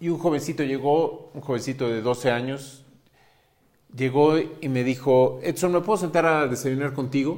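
The man's fairly high pitch shows ordinary pitch variation, and his pace is moderate. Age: 50s. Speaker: parenting podcaster. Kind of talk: monologue podcast. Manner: hesitant fillers.

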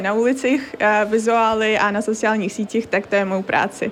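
A woman at a fairly quick pace and fairly high pitch, her intonation monotone and flat. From Crimea, Ukraine. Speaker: university student. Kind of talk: interview.

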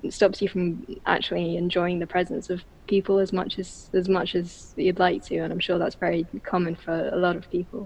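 With an English accent, a woman talks at a moderate pace in a fairly low, monotone, flat voice, with hardly any pauses. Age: 20s. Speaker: bookseller with misophonia. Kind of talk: interview.

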